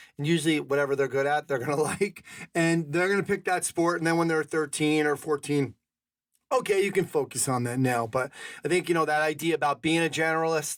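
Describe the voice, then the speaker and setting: Over a silent background in a very clean recording, a man talks fairly quickly in a plain, everyday voice, fairly high in pitch, with ordinary pitch variation and very even loudness. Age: 50s. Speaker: podcast host. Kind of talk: casual podcast conversation.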